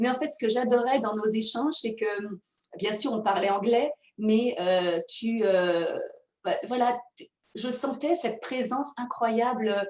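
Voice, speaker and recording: A woman's high-pitched voice at a very slow pace, with ordinary pitch variation and big swings in loudness. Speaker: mindfulness coach and author. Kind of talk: interview conversation.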